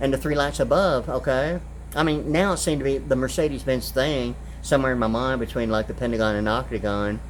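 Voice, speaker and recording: A man talks at a very fast pace with audible room echo around him. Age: 60s. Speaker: video blogger. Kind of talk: rambling monologue. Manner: halting, many fillers.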